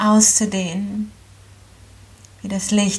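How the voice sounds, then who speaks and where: Somewhat breathy and calm, with a soothing tone, a woman speaks at medium pitch with monotone, flat intonation. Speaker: yoga teacher. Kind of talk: guided meditation. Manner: slow, calm, soothing; gentle, with long pauses.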